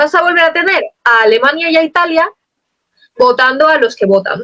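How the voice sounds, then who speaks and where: A woman speaks in a bright, sharp tone at an extremely high pitch. Her pitch swings very widely. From Spain. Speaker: poet. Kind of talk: interview. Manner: fast.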